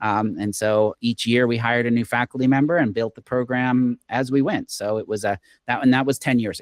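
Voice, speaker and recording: In a plain, everyday voice with an American accent, the speaker moves at a fairly quick pace with hardly any pauses and fairly even intonation, in a dry, close sound with no echo. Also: man, medium pitch for a man. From Oklahoma, US. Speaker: game design professor. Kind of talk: interview.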